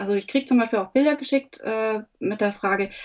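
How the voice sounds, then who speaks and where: A woman speaks with a plain, everyday voice. Her pitch is fairly high, with ordinary pitch variation. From Upper Franconia, Germany. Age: 30s. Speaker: photographer. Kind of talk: interview.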